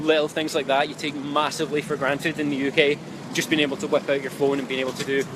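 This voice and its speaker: A man with a Scottish accent, fairly high-pitched, very fast and monotone with flat intonation, amid noticeable background noise. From Scotland. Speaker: relocation vlogger. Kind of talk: live-streamed travel advice talk. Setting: outdoors in city street, live stream. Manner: casual, many filler ums.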